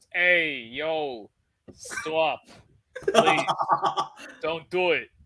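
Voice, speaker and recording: In a Jersey accent, this raspy put-on character voice sits at a middle pitch. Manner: pleading.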